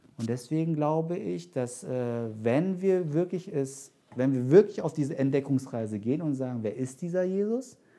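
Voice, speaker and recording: With lively intonation and a fairly high pitch, a man speaks at a moderate pace. He leaves hardly any pauses. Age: 30s. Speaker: pastor. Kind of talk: sermon. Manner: halting.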